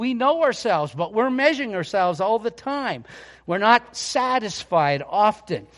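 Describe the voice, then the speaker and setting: Loud and with lively intonation, a man speaks at a moderate pace. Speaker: pastor. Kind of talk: sermon. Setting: church.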